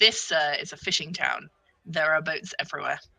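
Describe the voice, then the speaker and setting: Put-on character voice at a middle pitch. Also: moderate pace. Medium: actual play.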